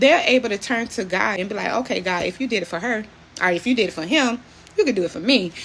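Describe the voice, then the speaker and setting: The speech comes at a very fast pace with ordinary pitch variation. Noticeable background noise sits behind it. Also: woman. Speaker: former hairstylist turned motivational speaker. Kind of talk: motivational talk to camera.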